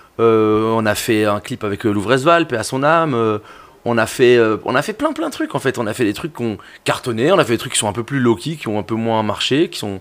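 At a moderate pace, a man talks in a medium-pitched voice with ordinary pitch variation. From Belgium, Brussels. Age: 30s. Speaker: music journalist and DJ. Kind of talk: casual chat. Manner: animated.

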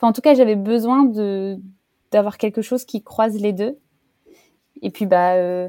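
A woman's fairly high-pitched voice with a dark, mellow tone at a fairly slow pace, dry and close with no echo. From France, countryside. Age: 30s. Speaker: interviewee on career change. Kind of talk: interview testimony. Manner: hesitant with many fillers.

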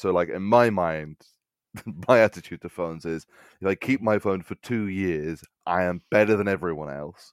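A man with an English accent and a very deep, low pitch talks at a moderate pace. His pitch varies in an ordinary way, in a dry, close sound with no echo. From England. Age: 20s. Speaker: comedian. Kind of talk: casual chat.

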